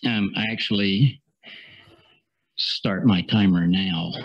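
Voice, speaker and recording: A man speaks with a Southern US accent. His pitch is fairly low, and his pace is very slow. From US South. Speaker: international business attorney. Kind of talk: conference presentation. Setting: seminar with audience and slides. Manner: halting, many fillers and repeats.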